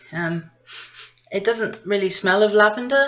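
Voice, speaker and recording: Music plays in the background behind a voice with a British accent. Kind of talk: casual tea review to camera. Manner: rambling, sarcastic.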